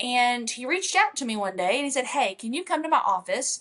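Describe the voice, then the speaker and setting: Speaking at a fairly quick pace with a Kentucky accent, a woman uses a bright, sharp tone and a fairly high pitch. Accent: country (rural Kentucky). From Kentucky, rural. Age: 30s. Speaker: country singer. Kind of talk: casual interview.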